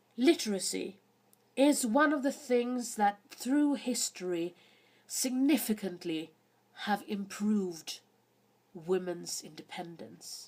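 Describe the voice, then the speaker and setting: Very slow and marked by long, frequent pauses, a woman's fairly high, somewhat breathy voice carries lively intonation. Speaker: history video host. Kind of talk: educational talk.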